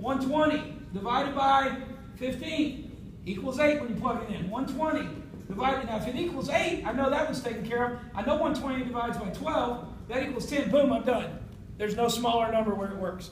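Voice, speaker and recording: At a fairly quick pace, the speech plays out over noticeable background noise. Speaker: math teacher. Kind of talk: classroom lecture. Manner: fast.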